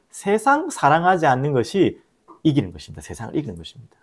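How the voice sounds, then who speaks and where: A man with a strong Gyeongsang accent talks at a fairly quick pace, using very wide pitch swings and vocal fry, on a very clean recording with a silent background. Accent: Gyeongsang dialect, strong intonation. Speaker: pastor. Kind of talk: sermon.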